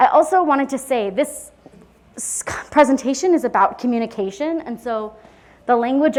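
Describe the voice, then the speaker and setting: In an American accent, a woman talks at a moderate pace with lively intonation. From US Midwest, Madison, Wisconsin. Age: 20s. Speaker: conference presenter, social worker. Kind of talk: conference presentation. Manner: occasional stutter and word-finding pauses.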